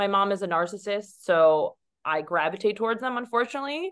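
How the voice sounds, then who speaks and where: The background stays quiet. At a moderate pace, an ordinary speaking voice talks with ordinary pitch variation. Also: woman. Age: 30s. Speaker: Olympic fencer and model. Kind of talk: casual chat.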